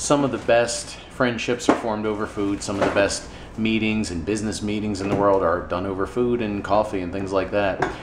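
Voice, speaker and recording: A man talks at a fairly quick pace with hardly any pauses. Noticeable background noise runs underneath. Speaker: ministry volunteer vlogger. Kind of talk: casual vlog chat. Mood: somber, reflective. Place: kitchen. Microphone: phone near.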